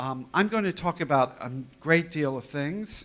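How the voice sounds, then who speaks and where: Talking at a fairly slow pace, a man uses lively intonation. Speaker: company representative presenting to customers. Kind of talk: conference presentation. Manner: animated. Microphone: too far from the microphone at first.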